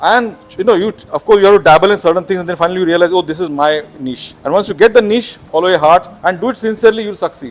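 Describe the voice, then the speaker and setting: A man with a Marathi accent speaks at a high pitch and a very fast pace. Music plays in the background. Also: ordinary pitch variation. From Mumbai, India. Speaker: naturalist. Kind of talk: interview. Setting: on camera. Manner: halting.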